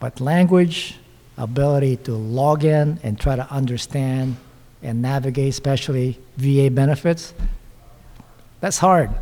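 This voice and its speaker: A man's medium-pitched voice with a non-native accent, a dark, mellow tone and a moderate pace. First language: not English. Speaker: panelist, veteran and local politician. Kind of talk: panel discussion. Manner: halting.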